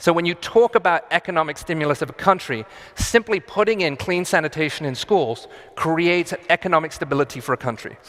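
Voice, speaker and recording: A man speaks very fast in a fairly high voice with lively intonation. The sound is dry and close with no echo, and background noise is noticeable. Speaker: architect giving a conference talk. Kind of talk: conference talk. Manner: halting, with fillers and restarts.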